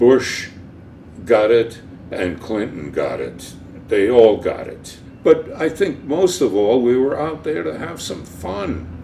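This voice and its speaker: Amid audible room echo, a man speaks very slowly at medium pitch, with very wide pitch swings and big swings in loudness. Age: 80s+. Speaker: cartoonist. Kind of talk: interview. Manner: halting.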